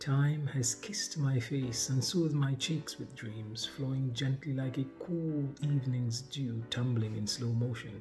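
Faint music plays behind a man with a medium pitch and a slightly mellow tone. He talks at a fairly slow pace, with fairly even intonation.

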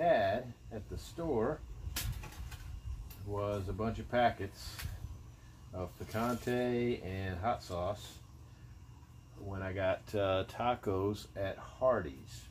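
A man speaks very slowly in a fairly low, somewhat breathy voice. Long, frequent pauses break his speech over light background noise. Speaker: outdoor cooking vlogger. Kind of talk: casual cooking tutorial. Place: garden. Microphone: phone near.

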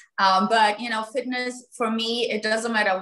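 A woman with a German accent has a bright, sharp tone. Her intonation is monotone and flat. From Germany. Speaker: real estate agent; guest. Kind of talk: panel discussion; interview answer. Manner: halting. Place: home room. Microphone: video call.

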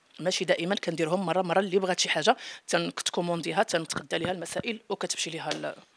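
The delivery is very rapid and carries vocal fry throughout. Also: woman, fairly low pitch for a woman. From Morocco. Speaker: home cook and YouTuber; YouTuber. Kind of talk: interview. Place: home room. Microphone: handheld.

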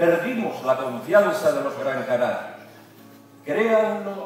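Speaking at a very slow pace, a man with a high pitch talks in a room with strong echo while faint music plays in the background. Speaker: announcer delivering a rally speech. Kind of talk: epic motivational political speech. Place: hall.

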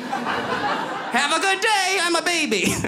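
A man speaks in a raised, projected voice. There is light background noise. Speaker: stand-up comedian. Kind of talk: stand-up comedy routine. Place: stage. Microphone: handheld.

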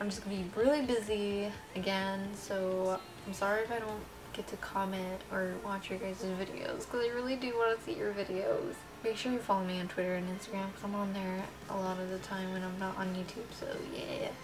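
With music in the background, a woman speaks at a fairly quick pace using fairly even intonation. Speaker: vlogger. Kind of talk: casual vlog chat. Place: kitchen. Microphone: webcam.

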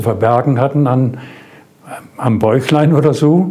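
The pace is very slow. A man talks with ordinary pitch variation. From Germany. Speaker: war veteran. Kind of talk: interview answer. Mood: calm, reflective storytelling. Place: studio. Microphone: lapel.

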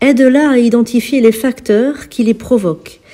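Music plays in the background as a woman speaks. Her fairly high voice has a gentle, calm tone. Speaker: spiritual healer and priestess. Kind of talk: healing prayer.

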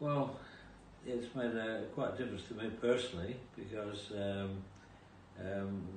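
There is light background noise and audible room echo as a man speaks at a fairly slow pace with fairly even intonation. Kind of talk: testimonial interview answer. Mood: pleased, calm. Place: office. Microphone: camera far.

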